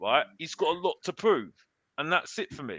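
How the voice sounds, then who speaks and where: A man's high, bright and sharp voice, raised and projected, with a dry, close sound and no echo. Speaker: football pundit. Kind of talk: heated debate. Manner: animated; halting, repetitive.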